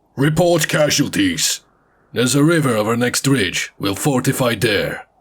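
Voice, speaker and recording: Putting on a raspy character voice, a man at a medium pitch uses lively intonation at a moderate pace. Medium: read story. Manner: curt, commanding.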